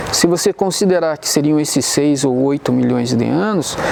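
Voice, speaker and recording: The pace is fairly slow, with noticeable background noise behind the speech. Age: 60s. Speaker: science explainer. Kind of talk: educational explanation on location. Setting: outdoors at crater viewpoint. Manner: measured, with hesitations.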